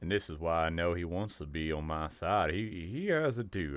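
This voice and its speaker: At a moderate pace, a man with a Southern US accent speaks in a very deep, low pitch. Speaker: podcast host. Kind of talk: video commentary.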